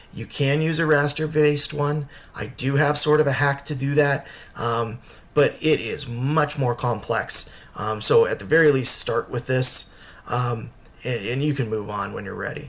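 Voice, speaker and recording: Fairly high in pitch, a man speaks with fairly even intonation. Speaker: construction layout tutorial maker. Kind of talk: tutorial. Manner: fast; casual with frequent fillers.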